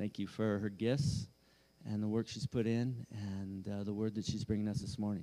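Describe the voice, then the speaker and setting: A man with a plain, everyday voice talks at a moderate pace with fairly low pitch and fairly even intonation. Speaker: church leader. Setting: church stage.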